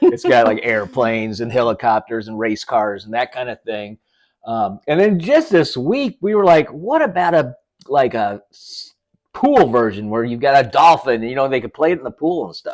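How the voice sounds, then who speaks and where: A man with a normal speaking voice talks at a moderate pace and medium pitch against a quiet background. His intonation is lively, with big swings in loudness. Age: 60s. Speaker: toy maker and podcast co-host. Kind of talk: phone interview.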